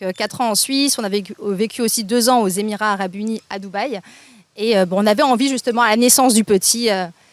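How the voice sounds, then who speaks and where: This woman's pitch is fairly high. She speaks at a very fast pace. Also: fairly even intonation. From France. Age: 30s. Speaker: content creator. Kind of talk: casual interview. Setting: outdoors at a beach restaurant.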